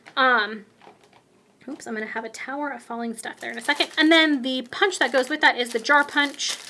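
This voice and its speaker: Loud and projected, a woman with a high pitch speaks at a fairly quick pace in an animated tone, with ordinary pitch variation and big swings in loudness. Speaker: craft demonstrator. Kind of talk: product showcase tutorial.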